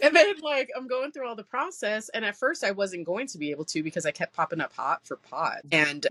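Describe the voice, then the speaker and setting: In a dry, close sound with no echo, a woman talks at a fairly quick pace with hardly any pauses, her fairly high pitch swinging very widely, with vocal fry and big swings in loudness. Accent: American. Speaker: military veteran; podcast guest, host's cousin. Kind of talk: casual chat.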